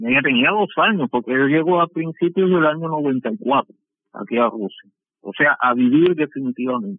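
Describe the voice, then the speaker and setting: Speaking at a moderate pace, a man with a fairly high voice uses lively intonation. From Cuba. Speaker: shipbuilding engineer. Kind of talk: interview. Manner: halting.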